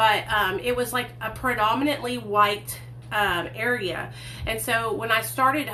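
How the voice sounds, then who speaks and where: A woman with a Southern accent at a moderate pace, amid noticeable background noise and audible room echo. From US South, Hot Springs, Arkansas. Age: 30s. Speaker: recovery vlogger. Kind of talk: livestream storytelling. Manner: casual, chatty.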